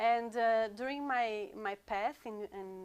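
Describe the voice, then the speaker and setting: A woman with a Portuguese accent, ordinary pitch variation and a fairly slow pace. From Brazil, rural countryside. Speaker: sound therapist. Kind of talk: interview. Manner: halting, many fillers and repeats.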